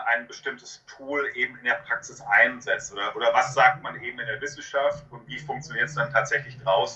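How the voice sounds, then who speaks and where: A man speaks at a moderate pace with fairly even intonation. It is an unremarkable speaking voice. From Westphalia, Germany (Hamm). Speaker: psychologist, author and university lecturer. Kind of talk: interview.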